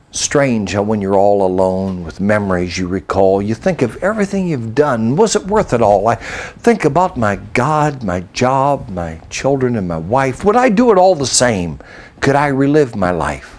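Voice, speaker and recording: With hardly any pauses, a man talks at a moderate pace and medium pitch, his pitch swinging very widely over noticeable background noise. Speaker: poet and storyteller. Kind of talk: poetry reading, rhymed storytelling.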